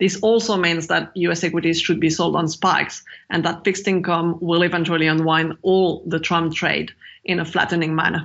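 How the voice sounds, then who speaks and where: The speech moves at a fairly quick pace. The intonation stays flat and monotone. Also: woman, fairly low pitch for a woman. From France. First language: French. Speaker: macro strategist. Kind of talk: interview.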